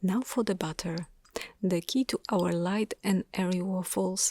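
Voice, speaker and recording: A soft-spoken, calm delivery at a moderate pace. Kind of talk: ASMR cooking narration.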